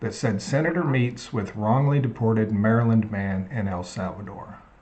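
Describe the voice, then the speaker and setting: A man with an Oklahoma accent talks at a moderate pace over noticeable background noise. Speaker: live stream host. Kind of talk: casual chat. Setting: live stream on YouTube and TikTok.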